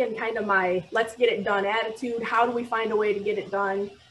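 A woman with an ordinary speaking voice, fairly high pitch and moderate pace, over light background noise. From Michigan, near Toledo; Michigan. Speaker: architect, firm owner; panelist. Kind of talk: panel discussion on video call. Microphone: video call.

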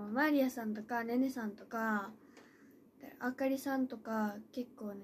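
Over light background noise, a woman talks in a high voice at a fairly slow pace. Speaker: idol trainee live streamer. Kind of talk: casual live stream chat. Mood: cheerful, recalling nervous debut. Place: home room. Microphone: phone near.

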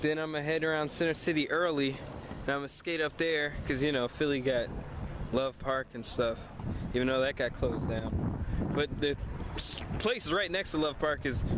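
A man's moderate-paced speech with ordinary pitch variation and long, frequent pauses, dry with no echo, over loud background noise. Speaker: skateboarder vlogger. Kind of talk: casual vlog chat. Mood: relaxed, cheerful. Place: street. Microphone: phone near.

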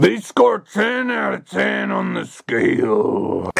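In a raspy, cartoonish character voice, a man speaks at a very slow pace. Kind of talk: comic overacting. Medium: puppet show. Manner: blustering, threatening wrestling-promo swagger.

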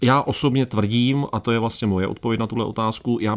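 A man at medium pitch and moderate pace, over a quiet background. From Czech Republic. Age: 40s. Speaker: documentary filmmaker and traveller; guest. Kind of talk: radio interview. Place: studio. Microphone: studio mic.

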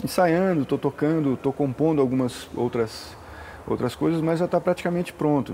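Light background noise behind a man's fairly high voice with ordinary pitch variation. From interior of São Paulo state, Brazil. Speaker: musician. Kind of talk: casual interview. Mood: relaxed, conversational.

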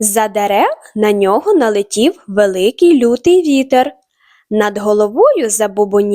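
The background is quiet. An unforced reading voice moves with lively intonation.

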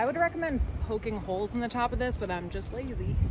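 With music in the background, a woman talks at a fairly quick pace, the sound dry with no echo. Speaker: car-living vlogger. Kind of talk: casual vlog chat. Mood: cheerful, amused. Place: forest.

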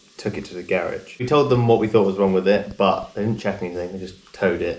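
A somewhat breathy man's voice with audible room echo. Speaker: travel vlogger. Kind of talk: casual vlog chat. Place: home room. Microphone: camera far.

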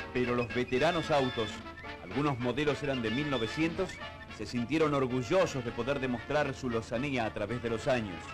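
A man's medium-pitched voice moving at a fairly quick pace over music in the background. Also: ordinary pitch variation. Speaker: newsreel narrator. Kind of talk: 1960s newsreel narration, humorous tone.

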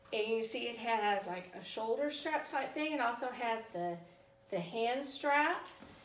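With an American accent, a woman speaks at a very slow pace, with audible room echo and light background noise. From US South. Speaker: YouTuber reviewing subscription boxes. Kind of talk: product unboxing review. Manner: casual, conversational. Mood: cheerful, relaxed. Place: home room. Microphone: camera far.

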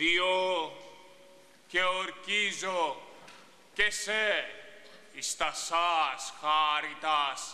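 The man's pace is very slow. He keeps a fairly even intonation. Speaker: stage actor. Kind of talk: theatrical monologue. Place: stage.

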